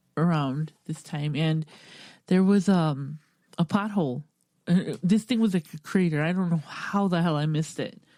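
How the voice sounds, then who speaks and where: A woman mumbles at a moderate pace in a fairly low voice with a dark, mellow tone. Her pitch varies in an ordinary way, and the recording is very clean with a silent background. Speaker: podcast host. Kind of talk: casual chat. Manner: mumbling.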